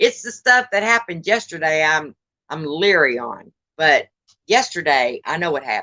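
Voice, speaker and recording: With a Texan accent, a woman speaks at a moderate pace in a bright, sharp tone, her fairly low pitch making very wide swings. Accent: Texan Southern US. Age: 60s. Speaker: live-stream host. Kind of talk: casual chat. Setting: outdoors live stream.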